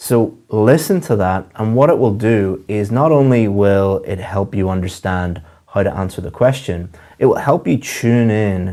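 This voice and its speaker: A man at a fairly slow pace, dark and mellow in tone, on a very clean recording with a silent background. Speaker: English teacher. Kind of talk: lecture.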